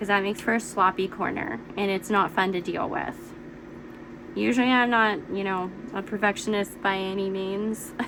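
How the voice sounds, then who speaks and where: A woman at medium pitch and moderate pace, ordinary pitch variation, noticeable background noise. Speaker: quilting teacher. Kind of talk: tutorial. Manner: casual.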